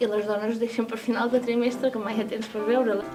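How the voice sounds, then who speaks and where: A woman with a fairly high pitch speaks in fairly even intonation over noticeable background noise. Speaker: poetry anthologist. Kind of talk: interview answer.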